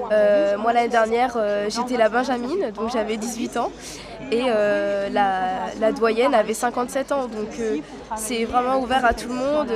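Amid crowd noise and audible room echo, a woman speaks with a fairly high pitch and fairly even intonation. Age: young. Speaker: leatherworking apprentice. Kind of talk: interview. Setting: trade fair stand.

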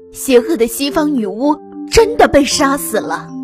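A shaky, put-on character voice at a fairly high pitch and moderate pace, with clear music in the background. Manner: nervous, questioning.

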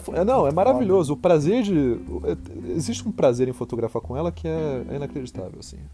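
A man's medium-pitched voice at a fairly quick clip, with very wide pitch swings, big jumps in loudness, and music playing behind. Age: 20s. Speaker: filmmaker and film teacher. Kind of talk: casual interview. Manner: halting, repeats words.

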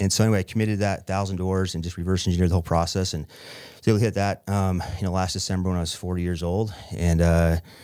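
A man with an American accent, very deep and low in pitch with a dark, mellow tone, at a very fast pace on a very clean recording with a silent background. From Utah, small town. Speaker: real estate investor. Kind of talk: interview.

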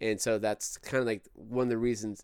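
A moderate-paced man's voice at medium pitch in an American accent, dry and close with no echo, in a very clean recording with a silent background. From California, Bakersfield. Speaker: filmmaker. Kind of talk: casual chat. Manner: halting, frequent repeated words.

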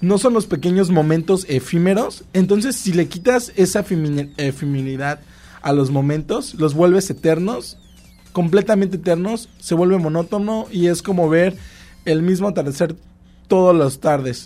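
A man's high-pitched voice at a moderate pace with ordinary pitch variation, music in the background. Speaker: podcast co-host. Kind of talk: casual chat.

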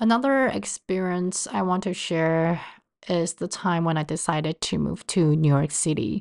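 A woman with a Chinese accent and a fairly low pitch over a quiet background. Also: lively intonation, moderate pace. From Taiwan. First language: Mandarin Chinese. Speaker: podcast host. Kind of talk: personal podcast monologue.

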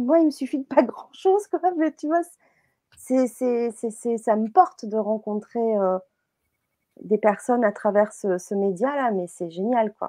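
A woman with a fairly high pitch talks at a very slow pace, the sound dry and close with no echo. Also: lively intonation. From southern France, Marseille and the Var. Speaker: web TV host. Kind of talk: casual chat. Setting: live stream.

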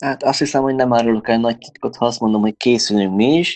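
A plain, everyday voice, this man speaks at medium pitch and a fairly quick pace with fairly even intonation, in a dry, close sound with no echo over a quiet background. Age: 20s. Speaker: volleyball player and sports store employee. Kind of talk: interview.

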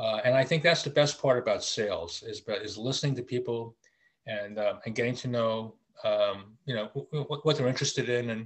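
With an American accent, a man speaks at a medium pitch and a fairly quick pace. His pitch variation is ordinary. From US Virgin Islands (St. Thomas). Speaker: sales consultant. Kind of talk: casual interview. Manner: halting.

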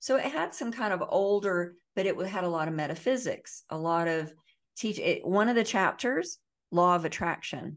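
Over a quiet background, a woman with a normal speaking voice and an American accent talks at a moderate pace in a medium pitch with lively intonation. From US South. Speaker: trauma healing educator and author. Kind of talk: interview.

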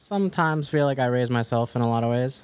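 Recorded very cleanly against a silent background, a man speaks at a medium pitch with a Mid-Atlantic accent and ordinary pitch variation. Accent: American, Mid-Atlantic. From US, Maryland suburbs. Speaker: music producer. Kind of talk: casual interview.

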